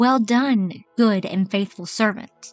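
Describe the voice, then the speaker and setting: A woman puts on a character voice, guttural and hissing, at a medium pitch and a very slow pace. Faint music plays in the background. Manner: sadistic, mocking.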